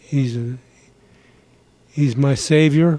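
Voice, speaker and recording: A man of medium pitch and a dark, mellow tone talks at a very slow pace. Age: 80s+. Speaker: war veteran. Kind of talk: testimony.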